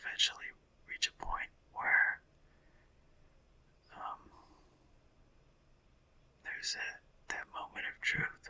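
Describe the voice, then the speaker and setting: Whispering in a relaxed tone at a very slow pace. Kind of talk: ASMR whispered sleep podcast, rambling talk. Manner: whispering, relaxed, meandering.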